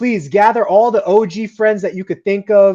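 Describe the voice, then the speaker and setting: Against a quiet background, a man with a dark, mellow tone and a slight New Jersey accent speaks at a moderate pace. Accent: slight New Jersey accent in certain words. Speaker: podcast host. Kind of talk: casual interview chat. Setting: live podcast broadcast.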